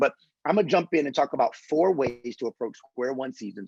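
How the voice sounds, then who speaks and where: Animated in tone, a man talks with an American accent in a dry, close sound with no echo. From US Northeast, Philadelphia. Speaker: pastor and author. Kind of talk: motivational talk. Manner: fast.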